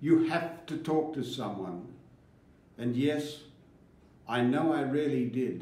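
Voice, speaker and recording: A man's dark, mellow voice with vocal fry, fairly high in pitch, ordinary pitch variation, a very slow pace and long, frequent pauses. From Australia. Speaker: farmer. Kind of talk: poetry reading.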